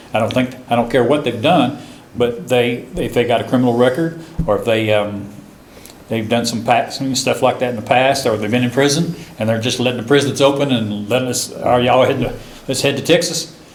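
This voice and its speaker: A man speaks with noticeable background noise. There is audible room echo. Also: medium pitch for a man, ordinary pitch variation, fairly quick pace. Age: 60s. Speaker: forum participant. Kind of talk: group discussion. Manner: halting.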